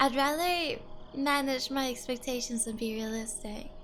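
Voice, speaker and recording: A woman with a non-native accent and a high-pitched voice, with music in the background. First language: not English. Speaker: vtuber streamer. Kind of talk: casual chat.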